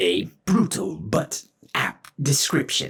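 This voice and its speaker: A man puts on a character voice, pitched fairly high. His pitch swings very widely. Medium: read story. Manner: formal, stilted, speaks of himself in third person.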